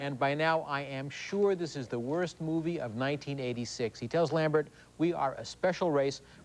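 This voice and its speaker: A man speaks in a normal speaking voice, fairly high in pitch, at a moderate pace. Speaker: TV film critic. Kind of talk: TV movie review. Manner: sarcastic, jokey.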